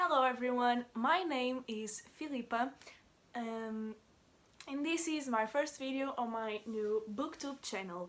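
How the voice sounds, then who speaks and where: In a Portuguese accent, a woman talks at a fairly slow pace. Her voice is high, with ordinary pitch variation. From Portugal. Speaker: book vlogger. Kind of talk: casual vlog introduction. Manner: hesitant, many filler words.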